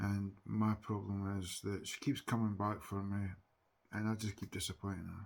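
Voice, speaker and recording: This man's pitch sits fairly low. He keeps a moderate pace with monotone, flat intonation. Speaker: TikTok live streamer. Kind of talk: casual chat. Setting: livestream. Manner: loud.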